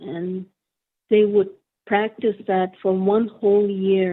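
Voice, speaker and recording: A woman's flat, monotone voice at a very slow pace. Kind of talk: interview answer. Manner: soft-spoken, careful.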